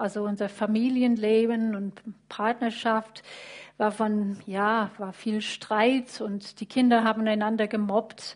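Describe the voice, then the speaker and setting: Over a quiet background, a woman with an English accent speaks at a fairly high pitch with monotone, flat intonation. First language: English (speaking German). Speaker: church member sharing faith story. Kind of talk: testimony. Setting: church service with livestream. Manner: halting, many fillers.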